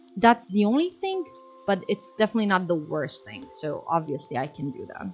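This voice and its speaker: Noticeable background noise sits behind a woman with a Serbian accent. She speaks at a moderate pace in a medium pitch. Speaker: streamer. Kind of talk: casual chat.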